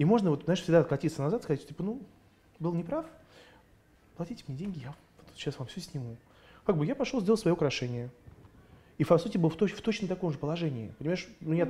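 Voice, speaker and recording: This man talks very fast, his voice high-pitched for a man with a dark, mellow tone. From Russia (Moscow), grew up in USSR. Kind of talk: casual interview chat. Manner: animated.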